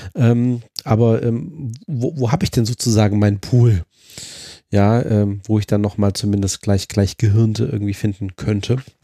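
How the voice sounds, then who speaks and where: In a very clean recording with a silent background and a dry, close sound with no echo, a man with a dark, mellow, fairly low voice speaks at a moderate pace with fairly even intonation and long, frequent pauses. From Düsseldorf, Germany. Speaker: podcast host, psychologist. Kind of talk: casual podcast chat.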